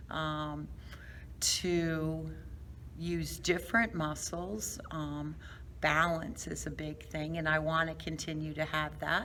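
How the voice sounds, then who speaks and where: A woman talks at a very slow pace with audible room echo. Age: 60s. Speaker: fitness class member, long-term care worker. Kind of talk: interview. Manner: hesitant, many fillers.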